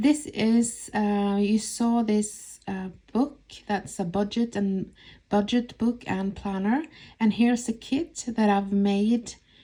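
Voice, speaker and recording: A woman with a Norwegian accent speaks very slowly at a medium pitch, her dark, mellow tone and fairly even intonation captured in a very clean recording against a silent background. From Norway. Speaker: budget planner YouTuber. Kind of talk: voice-over for a budgeting tutorial. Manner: hesitant, casual.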